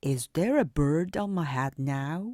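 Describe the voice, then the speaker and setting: This female-sounding voice, a put-on character voice, moves at a fairly slow pace with a very deep, low pitch for a woman. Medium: read story. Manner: worried, fretful.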